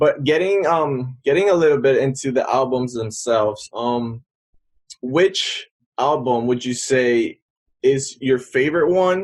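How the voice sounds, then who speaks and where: With ordinary pitch variation and a medium pitch, a man delivers his words at a fairly slow pace. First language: Spanish. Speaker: podcast host. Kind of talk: casual chat.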